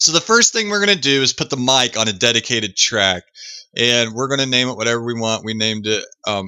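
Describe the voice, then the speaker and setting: A man talks at a fairly quick pace. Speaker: streamer giving a software tutorial. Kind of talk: tutorial. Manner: casual with frequent ums. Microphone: built-in Realtek audio input, boosted.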